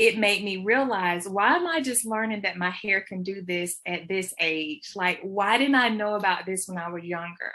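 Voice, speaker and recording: Hardly pausing at all, a woman with an American accent talks at a medium pitch with ordinary pitch variation. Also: moderate pace. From US South, Georgia. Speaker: children's book author. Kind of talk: interview. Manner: hesitant, many fillers.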